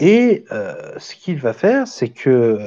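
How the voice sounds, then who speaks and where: Speech unfolds at a fairly slow pace. Its pitch rises and falls across a very wide range. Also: man. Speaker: amateur history lecturer. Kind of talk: lecture. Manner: halting, many fillers and restarts.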